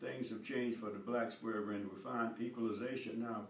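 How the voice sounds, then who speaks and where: Over light background noise and audible room echo, a man speaks at a medium pitch with an American accent. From North Carolina, US. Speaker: war veteran. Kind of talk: interview answer. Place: home room. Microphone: camera far.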